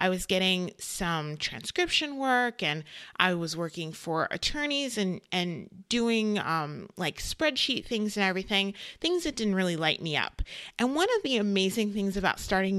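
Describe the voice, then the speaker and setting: A woman in a normal speaking voice at a medium pitch talks at a moderate pace with lively intonation, on a very clean recording with a silent background. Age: 30s. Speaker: podcast host, online business manager. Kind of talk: solo podcast monologue.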